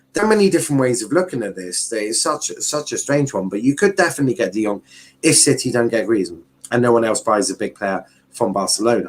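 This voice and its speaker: A man with a strong southern English accent, medium pitch, very wide pitch swings and a very fast pace. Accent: thick Southern English. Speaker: football YouTuber. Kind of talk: live stream commentary. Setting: live stream. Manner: casual, repetitive, halting.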